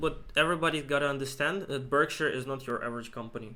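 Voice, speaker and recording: This man speaks with a non-native accent at a very fast pace. His pitch is fairly high, and his intonation is fairly even. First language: not English. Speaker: investing video co-host. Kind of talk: casual investment discussion. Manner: halting, many fillers and repeats.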